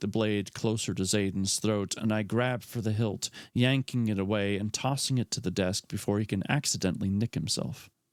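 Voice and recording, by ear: Text read aloud in a natural voice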